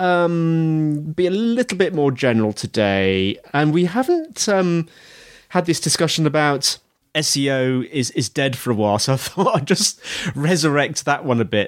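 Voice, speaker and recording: On a very clean recording with a silent background, a man with a British accent speaks at a fairly high pitch with very wide pitch swings. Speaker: podcast host. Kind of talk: interview.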